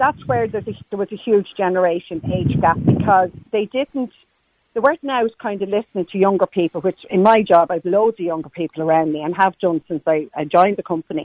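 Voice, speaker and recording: A woman of medium pitch speaks fairly quickly with lively intonation, in an Irish accent. The sound is dry and close, with no echo. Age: 60s. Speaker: caller. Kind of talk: casual chat. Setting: phone call.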